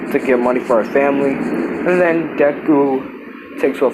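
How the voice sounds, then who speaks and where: Noticeable background noise surrounds a man speaking at a fairly slow pace with a medium pitch and ordinary pitch variation. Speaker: YouTuber telling a fan-fiction story. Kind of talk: casual storytelling narration. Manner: halting, self-correcting.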